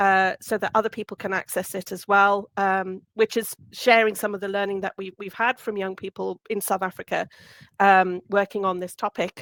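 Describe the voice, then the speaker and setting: Loud and flat in intonation, a woman speaks at a medium pitch in a dry, close recording with no echo. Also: moderate pace. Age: old. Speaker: resilience researcher. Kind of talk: webinar talk. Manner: hesitant, many fillers.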